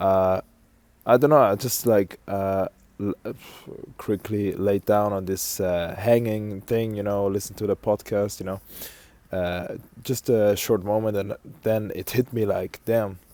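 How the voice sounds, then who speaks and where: There is a man with a fairly low pitch and a dark, mellow tone who speaks at a fairly slow pace with fairly even intonation and long, frequent pauses, in a dry, close sound with no echo. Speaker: content creator. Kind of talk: casual vlog monologue. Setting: outdoors on a walk. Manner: hesitant, many fillers.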